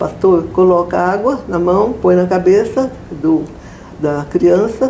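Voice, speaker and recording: Over noticeable background noise, a woman speaks very slowly at a fairly low pitch with ordinary pitch variation. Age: 80s+. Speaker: church member sharing faith testimony. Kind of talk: interview answer, personal testimony.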